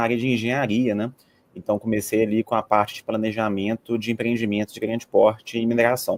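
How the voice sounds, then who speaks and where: A man with a Minas Gerais accent speaks at a medium pitch and a very fast pace. The sound is dry and close, with no echo. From Minas Gerais, Brazil. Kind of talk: professional, conversational.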